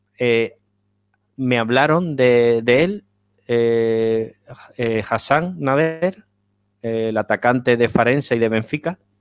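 A man speaks at a very slow pace and medium pitch, with long, frequent pauses. His loudness stays very even, his pitch variation is ordinary, and the sound is dry and close with no echo. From Spain. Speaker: football writer. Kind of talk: interview.

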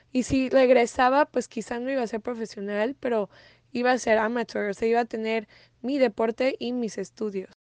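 A woman's fairly high voice at a moderate pace, with fairly even intonation and a quiet background. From Mexico, raised in the US from age 8. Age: 20s. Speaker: tennis player. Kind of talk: interview.

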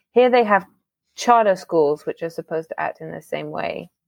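She has an English accent. The woman talks at a fairly quick pace. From England. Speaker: immigrant guest. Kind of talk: casual chat.

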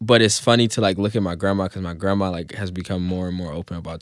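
A man with a very deep, low pitch talks at a very fast pace and with fairly even intonation in a very clean recording with a silent background. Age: 20s. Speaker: social media comedian. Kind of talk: interview testimony.

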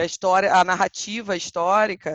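Recorded with a dry, close sound, no echo and a quiet background, a woman has a plain, everyday voice at medium pitch with fairly even intonation. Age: 30s. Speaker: historian and walking tour guide. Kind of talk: interview.

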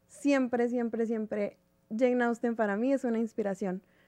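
Recorded dry and close without any echo, the clip has a quiet background. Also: woman. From Mexico, Chihuahua. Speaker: writer. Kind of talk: radio interview. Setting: studio.

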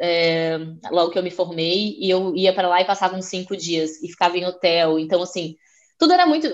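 A woman has an ordinary speaking voice at a medium pitch with fairly even intonation. She talks at a moderate pace against a quiet background. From southern Brazil, Florianópolis. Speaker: chef. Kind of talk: interview.

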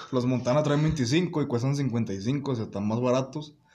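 Noticeable background noise and audible room echo surround a man speaking. He goes at a fairly slow pace with ordinary pitch variation. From Mexico, León, Guanajuato. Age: 19. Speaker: podcast guest. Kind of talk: casual chat. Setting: at a friend's home.

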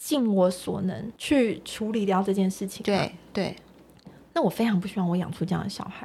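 A woman's somewhat breathy voice of medium pitch, dark and mellow in tone, at a moderate pace with ordinary pitch variation. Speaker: meditation coach and single mother. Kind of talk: casual chat.

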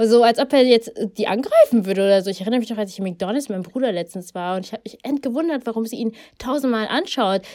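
A woman talks very fast in a fairly high voice, with ordinary pitch variation. Her loudness swings a lot over noticeable background noise. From Germany, Ethiopian family. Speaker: podcast co-host. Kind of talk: casual chat.

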